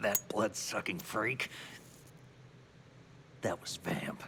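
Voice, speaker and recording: Putting on a raspy character voice, a man speaks at a very slow pace and medium pitch, with clear background noise behind him. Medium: video game. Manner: earnest, questioning.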